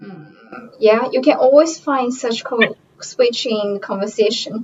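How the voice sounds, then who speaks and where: Speaking with a Japanese accent at a fairly slow pace, a woman uses a high pitch with ordinary pitch variation and big swings in loudness. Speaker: parent. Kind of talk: scripted interview.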